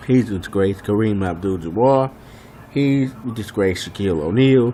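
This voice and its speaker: Against noticeable background noise, a soft-spoken man talks at a moderate pace. His tone is animated and his intonation lively. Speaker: sports fan vlogger. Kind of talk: rant.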